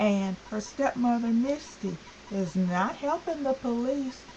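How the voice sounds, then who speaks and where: Through noticeable background noise, a woman's high-pitched voice makes very wide pitch swings at a fairly slow pace. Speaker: vlogger. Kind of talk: vlog rant. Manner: stuttering; animated.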